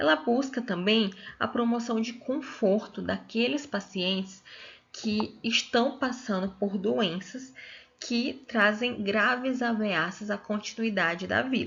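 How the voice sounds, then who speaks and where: Vocal fry marks this very slow delivery, which has ordinary pitch variation. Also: woman, fairly high pitch for a woman. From Brazil, Piauí. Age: 20s. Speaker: physiotherapist and master's student. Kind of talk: lecture.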